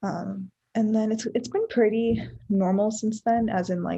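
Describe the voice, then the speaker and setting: A somewhat breathy, fairly high woman's voice, dark and mellow in tone. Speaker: vlogger. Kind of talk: casual vlog talk. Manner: soft-spoken.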